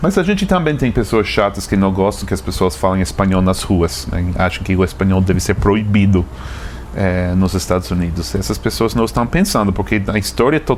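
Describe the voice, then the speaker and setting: A man with an American accent speaks at a moderate pace in a very deep, low voice, his intonation lively and his loudness very even, over noticeable background noise. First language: English (speaking Portuguese). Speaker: travel journalist and video creator. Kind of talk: interview. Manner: halting, many repetitions.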